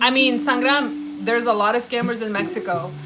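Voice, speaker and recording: Music plays in the background as a woman talks at a moderate pace in a room with audible echo. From Washington State, US (Mexican-American family). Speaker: lifestyle YouTuber. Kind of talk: casual livestream chat while cooking. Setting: home kitchen livestream. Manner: animated.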